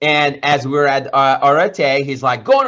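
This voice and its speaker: A man with a fairly high pitch talks in an animated, bright, sharp tone. His pace is moderate. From Iran. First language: Persian. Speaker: entrepreneur and business coach. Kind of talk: motivational talk.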